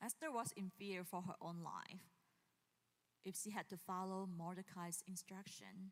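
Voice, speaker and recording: Speaking at a fairly slow pace with fairly even intonation, a woman has a plain, everyday voice at a medium pitch. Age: 40s. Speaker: pastor. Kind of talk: sermon. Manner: casual, with frequent fillers and laughs.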